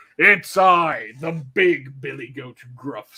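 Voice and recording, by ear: A man in a put-on character voice, raspy and fairly high-pitched, at a very slow pace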